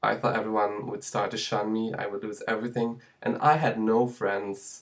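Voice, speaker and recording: Someone with a non-native accent speaks at a moderate pace. The intonation stays fairly even. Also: man, fairly low pitch for a man. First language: not English. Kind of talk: personal story told to camera. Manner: hesitant, many fillers.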